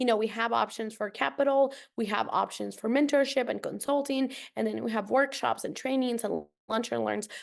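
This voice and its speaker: A woman with a Spanish accent talks at a fairly quick pace over a quiet background. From Costa Rica, San Jose. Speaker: nonprofit program director. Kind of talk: podcast interview.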